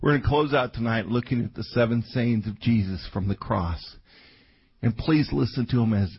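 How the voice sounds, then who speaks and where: A man with an American accent speaks at a moderate pace, somewhat breathy. His pitch is fairly low, with ordinary pitch variation. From Colorado. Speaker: pastor. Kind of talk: sermon. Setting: church. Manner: animated.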